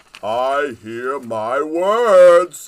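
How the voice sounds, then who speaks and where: A man uses a put-on character voice at a fairly high pitch. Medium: read story. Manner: warm, joyful.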